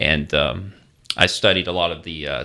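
The voice has a bright, sharp tone with vocal fry. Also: man. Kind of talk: radio interview with prayer. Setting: radio studio.

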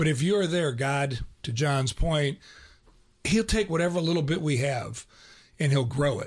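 Somewhat breathy and fairly high in pitch, this man's voice moves at a moderate pace with ordinary pitch variation. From Ohio. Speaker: radio co-host. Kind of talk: casual radio conversation. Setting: radio studio.

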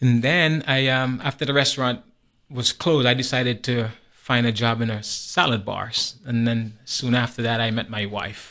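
A man talks in a bright, sharp tone with fairly even intonation. Behind him the background is quiet. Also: medium pitch for a man, moderate pace. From Antigua. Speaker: parishioner. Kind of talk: casual chat.

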